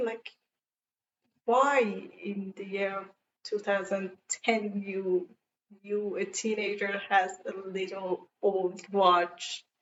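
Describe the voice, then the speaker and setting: With a non-native accent, a woman at a medium pitch talks at a very slow pace, leaving long, frequent pauses. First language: not English. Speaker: fan reviewer. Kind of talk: casual talk to camera. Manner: enthusiastic.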